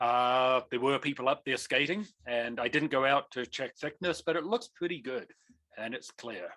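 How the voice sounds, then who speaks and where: A bright, sharp tone with ordinary pitch variation at a moderate pace. The sound is dry and close, with no echo. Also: man, medium pitch for a man. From New Zealand. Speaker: avalanche course instructor and mountain guide. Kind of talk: online lecture. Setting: video call.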